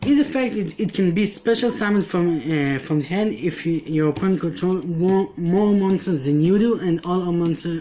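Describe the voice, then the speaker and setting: Pitched high for a man, this male speaker keeps a moderate pace with hardly any pauses, ordinary pitch variation and very even loudness. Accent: non-native. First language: not English. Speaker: card game player. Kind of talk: deck profile explanation. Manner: halting.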